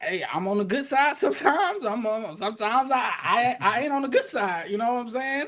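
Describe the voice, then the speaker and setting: A man with an extremely high voice speaks with lively intonation. His pace is moderate. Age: 20s. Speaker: podcast guest. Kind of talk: casual chat.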